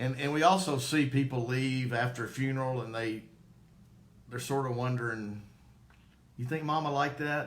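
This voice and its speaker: Amid audible room echo, a man with a Southern US accent speaks with fairly even intonation. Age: 50s. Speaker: former probate court clerk, funeral home promoter. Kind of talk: live-stream Q&A.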